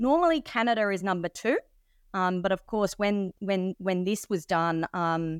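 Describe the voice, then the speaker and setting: With an Australian accent, a woman talks at a moderate pace. The sound is dry and close with no echo, very clean, with a silent background. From Australia (Sydney). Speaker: mining company executive. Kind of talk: presentation-style interview.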